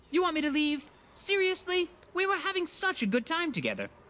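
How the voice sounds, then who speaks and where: This is a put-on character voice, squeaky and extremely high in pitch. It moves at a fairly quick pace. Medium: video game. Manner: hesitant, stammering.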